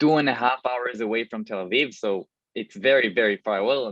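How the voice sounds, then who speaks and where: The speaker has an Israeli accent. The pace is moderate. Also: man. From Israel, lower Galilee. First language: Hebrew. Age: 20s. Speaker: army officer. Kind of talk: self-introduction.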